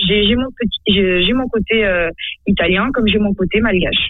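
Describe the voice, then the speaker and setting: Speaking at a fairly high pitch, a woman is heard over noticeable background noise. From Madagascar. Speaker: singer. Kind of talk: radio interview.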